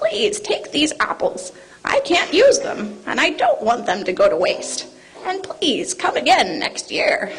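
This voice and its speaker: A woman puts on a character voice pitched extremely high. She talks at a fairly slow pace. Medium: stage play. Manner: groaning, pleading.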